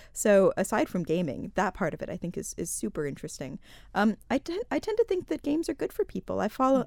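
In a very clean recording with a silent background, a woman talks at a very fast pace, the sound dry and close with no echo. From United States. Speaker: online gaming industry innovator. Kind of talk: radio interview.

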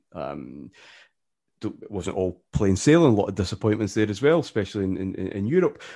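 Speaking with a Glaswegian accent, a man uses a fairly low pitch and a dark, mellow tone, with very wide pitch swings. He talks at a fairly quick pace over a quiet background. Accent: Glaswegian Scottish. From Scotland, Glasgow area. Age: 40s. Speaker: football podcaster and author. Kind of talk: casual interview. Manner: halting, many repetitions and fillers.

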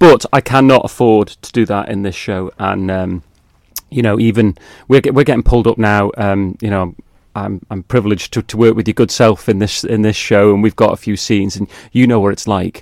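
A man's fairly low, fairly quick voice in a Manx accent, on a very clean recording with a silent background and a dry, close sound with no echo. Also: fairly even intonation. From Isle of Man. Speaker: amateur musical theatre performer. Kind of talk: casual interview.

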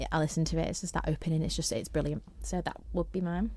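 In a very clean recording with a silent background, a woman with a Merseyside accent speaks in a fairly low, monotone, flat voice. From northern England, St Helens, Merseyside. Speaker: amateur musical theatre performer. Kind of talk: casual interview chat.

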